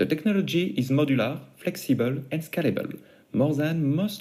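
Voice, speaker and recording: A man with a non-native accent, fairly high in pitch, somewhat breathy, with a dark, mellow tone, lively intonation, and a fairly quick pace. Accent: noticeable foreign. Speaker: startup founder. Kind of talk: pitch presentation. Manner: formal.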